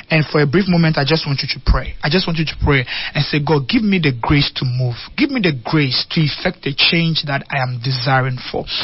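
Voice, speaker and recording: The speech moves at a fairly quick pace with hardly any pauses. Noticeable background noise sits behind it. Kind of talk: fervent pulpit prayer, leading listeners in an earnest petition and altar-call style plea. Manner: earnest, pleading, rhythmic repetition of 'help us to move in'; intimate, tender and urgent when addressing the unsaved.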